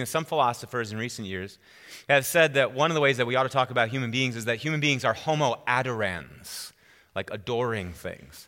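Bright and sharp in tone, a man's medium-pitched voice runs at a fairly quick pace with lively intonation. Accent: American. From US Midwest, central Wisconsin. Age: 40s. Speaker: pastor. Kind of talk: sermon. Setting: church with congregation.

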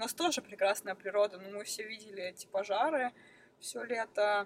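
A woman has an unremarkable speaking voice, medium in pitch with ordinary pitch variation, at a moderate pace. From Russia, Krasnoyarsk. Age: 20s. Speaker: professional snowboarder. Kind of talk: interview.

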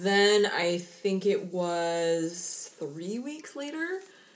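Against noticeable background noise, a woman with an American accent speaks with ordinary pitch variation. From Seattle, US Pacific Northwest. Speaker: true crime podcast co-host. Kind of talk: casual chat.

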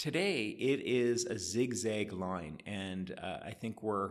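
A man with a Canadian accent, a plain, everyday voice, fairly low pitch and ordinary pitch variation. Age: 50s. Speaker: economist. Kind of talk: interview.

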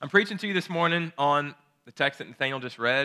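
This man has a fairly high pitch and an unremarkable speaking voice. He talks at a fairly quick pace. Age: 30s. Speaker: pastor. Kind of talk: sermon. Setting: church.

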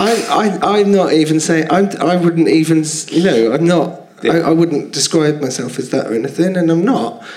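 A man with a London accent speaks at a fairly slow pace and a fairly high pitch, with noticeable background noise and audible room echo. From London, Finsbury Park. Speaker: comedian. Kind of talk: casual chat. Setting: stage with audience.

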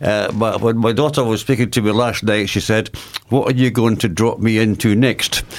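With a normal speaking voice, this man keeps a medium pitch, very even loudness, fairly even intonation and a moderate pace. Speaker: charity coordinator. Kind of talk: radio interview.

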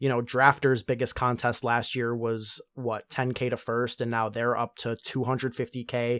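Man's monotone, flat voice at medium pitch and moderate pace with hardly any pauses, dry and close with no echo, in a very clean recording with a silent background. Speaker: podcast host. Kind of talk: casual interview.

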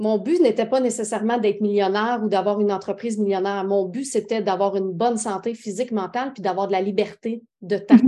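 A woman with a normal speaking voice and ordinary pitch variation. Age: 30s. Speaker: entrepreneur, makeup company founder. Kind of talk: interview.

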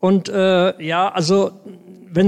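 This man's voice sits at a high pitch. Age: 80s+. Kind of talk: group discussion. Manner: halting, many fillers.

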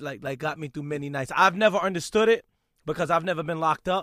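With a New York accent, a man talks at a fairly quick pace in a dry, close sound with no echo, on a very clean recording with a silent background. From Brooklyn, New York. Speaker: radio DJ. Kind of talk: interview.

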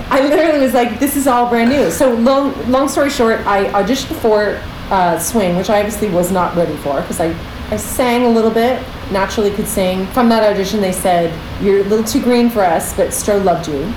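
The delivery is animated, with lively intonation at a fairly quick pace. Noticeable background noise can be heard. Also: woman, fairly high pitch for a woman, very even loudness. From Canada, Pickering near Toronto. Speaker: Broadway performer and choreographer. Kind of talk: casual interview chat.

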